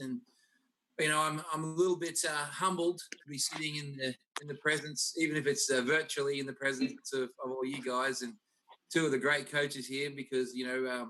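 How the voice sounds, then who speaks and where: Over music in the background, a man with an Australian accent speaks at a fairly quick pace with fairly even intonation. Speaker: college basketball coach. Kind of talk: video panel interview. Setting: video call.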